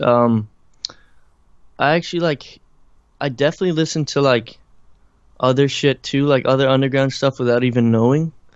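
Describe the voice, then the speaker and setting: The man has a slight Irish accent. His intonation stays fairly even. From Ireland. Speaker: musician and producer. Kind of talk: interview. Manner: casual, halting with many fillers.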